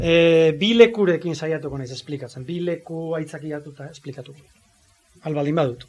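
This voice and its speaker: A man with a plain, everyday voice and a fairly high pitch shows ordinary pitch variation and big swings in loudness. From Zarautz, Gipuzkoa, Basque Country. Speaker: music teacher and writer. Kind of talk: talk at book presentation. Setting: live event with audience.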